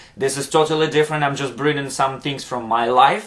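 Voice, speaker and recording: A fairly high-pitched man's voice in a Ukrainian accent with fairly even intonation. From Ukraine. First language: Ukrainian or Russian. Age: 30s. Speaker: dance instructor and motivational vlogger. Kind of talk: motivational vlog monologue. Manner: halting, many fillers.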